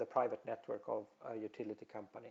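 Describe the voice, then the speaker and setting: Speaking at a moderate pace, a man talks with a Swedish accent. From Sweden. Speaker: telecom industry presenter. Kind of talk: webinar presentation. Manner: halting, many fillers.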